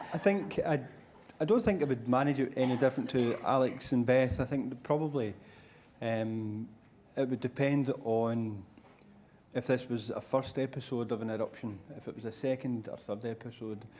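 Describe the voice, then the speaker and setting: A man with a Scottish accent speaks at a moderate pace in a dark, mellow tone, his medium pitch rising and falling in an ordinary way. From Scotland. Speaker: lung cancer clinician. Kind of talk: panel discussion.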